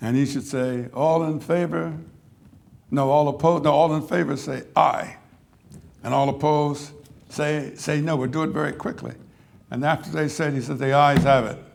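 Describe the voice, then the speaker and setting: Speaking at a moderate pace with long, frequent pauses, a fairly high-pitched man with an American accent shows ordinary pitch variation amid audible room echo. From US Northeast (South Jersey, Pennsylvania). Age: 80s+. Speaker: civil rights veteran, lecture speaker. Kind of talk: lecture.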